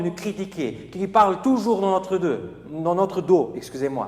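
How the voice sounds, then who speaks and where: A man with a high-pitched voice. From Portugal (Porto). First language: Portuguese (speaking French). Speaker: preacher. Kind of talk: sermon.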